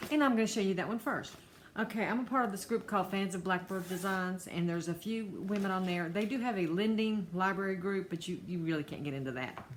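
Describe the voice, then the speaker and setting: With an American accent, a woman talks at a very fast pace. Her medium-pitched voice is somewhat breathy. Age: 60s. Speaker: cross-stitch vlogger. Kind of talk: casual vlog monologue. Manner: halting.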